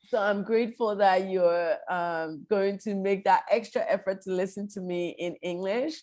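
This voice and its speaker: A woman with a normal speaking voice talks at a moderate pace and medium pitch, with ordinary pitch variation, hardly any pauses, and a quiet background. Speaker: law professor and association president. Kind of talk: academic lecture over video call.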